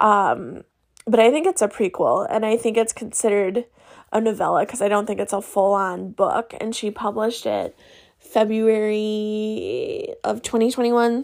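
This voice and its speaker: On a very clean recording with a silent background, a woman speaks at a moderate pace in a fairly high voice with fairly even intonation. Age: 30s. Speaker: podcast host. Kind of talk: casual monologue. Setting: home room.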